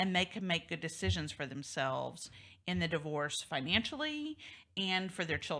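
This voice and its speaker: Her bright, sharp tone swings very widely in pitch, with vocal fry, as a woman speaks in a very clean recording with a silent background. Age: 50s. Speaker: talk show host, divorce lawyer. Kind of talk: interview talk show.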